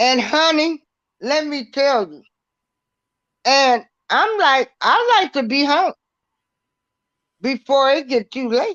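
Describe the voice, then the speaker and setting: A woman speaks very slowly at a high pitch, with lively intonation and big swings in loudness. Long, frequent pauses break up her speech, and the sound is dry and close with no echo. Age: 60s. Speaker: podcast host. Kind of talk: casual chat. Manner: animated.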